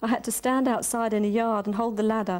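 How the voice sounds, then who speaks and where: A fairly quick woman's voice, fairly high in pitch with fairly even intonation, on a very clean recording with a silent background. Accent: London. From London. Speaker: poet and prose writer; social worker. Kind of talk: prose reading of a monologue.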